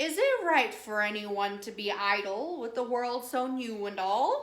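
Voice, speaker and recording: Using a put-on character voice, a woman speaks at a fairly slow pace. Her pitch is high. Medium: read story.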